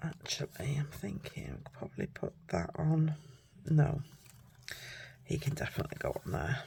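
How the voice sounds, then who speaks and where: A woman with a British accent at a moderate pace, with long, frequent pauses. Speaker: papercraft demonstrator. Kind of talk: crafting tutorial. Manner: casual, thinking aloud.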